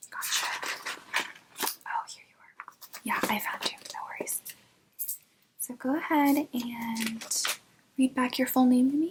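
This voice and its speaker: Soft-spoken and whispering, the voice moves at a fairly slow pace with long, frequent pauses and big swings in loudness. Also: woman. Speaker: ASMR artist doing a brow-styling roleplay. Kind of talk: ASMR roleplay, salon receptionist and brow stylist talking to the viewer. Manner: whispered, soft-spoken.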